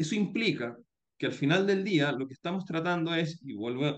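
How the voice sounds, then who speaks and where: At a fairly quick pace, a plain, everyday voice talks with ordinary pitch variation. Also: man. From Chile. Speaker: startup founder and CEO. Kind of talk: interview.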